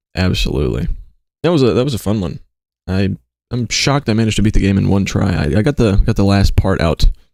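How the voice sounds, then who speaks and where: At a very fast pace, a man with a fairly low pitch and vocal fry speaks with lively intonation. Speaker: streamer. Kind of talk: casual live stream chat. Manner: loud.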